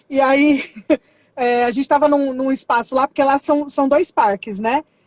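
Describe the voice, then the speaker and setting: An animated, high-pitched woman's voice at a moderate pace, with a dry, close sound with no echo. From Brazil. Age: 30s. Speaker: youth ministry worker. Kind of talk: casual interview.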